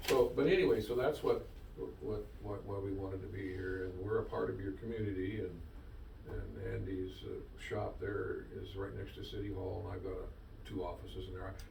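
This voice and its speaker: Audible room echo and noticeable background noise fill the recording. Through them, a man speaks at a moderate pace. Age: 70s. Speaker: government environmental engineer. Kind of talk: public meeting briefing. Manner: halting, repetitive.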